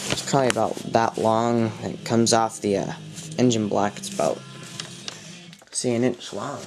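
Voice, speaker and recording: Over music in the background, the speaker goes at a fairly slow pace with long, frequent pauses. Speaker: RC hobbyist. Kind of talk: show-and-tell tutorial. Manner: halting, many fillers.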